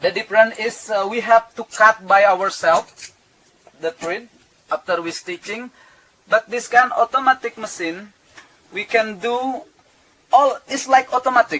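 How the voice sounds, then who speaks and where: A man with an Indonesian accent in a raised, projected voice, high in pitch, at a fairly slow pace, with ordinary pitch variation, big swings in loudness and long, frequent pauses. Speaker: cruise ship tailor. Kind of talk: workplace interview. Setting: tailor shop on board a ship. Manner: halting.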